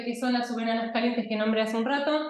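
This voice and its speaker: In a room with audible echo, a woman speaks at a high pitch with fairly even intonation. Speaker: astronomer. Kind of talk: lecture.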